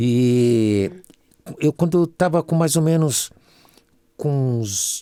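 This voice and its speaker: A dark, mellow tone moves at a very slow pace through very wide pitch swings. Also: man. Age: 70s. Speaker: singer and musician. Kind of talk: casual chat.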